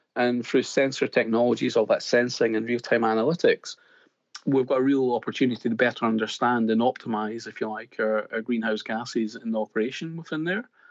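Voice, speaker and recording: A man with a Scottish accent speaks at a very fast pace and a medium pitch with fairly even intonation against a quiet background. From Scotland. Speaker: BIM consultant. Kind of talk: casual interview.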